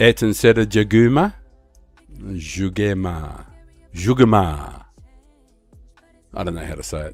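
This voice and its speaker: A man's fairly low voice with long, frequent pauses, big swings in loudness, and music in the background. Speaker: streamer. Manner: casual, rambling.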